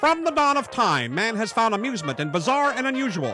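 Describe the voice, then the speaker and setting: A man's extremely high, raised, projected voice at a fairly quick pace, with music in the background. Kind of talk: sideshow show opener narration. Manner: showman announcer style.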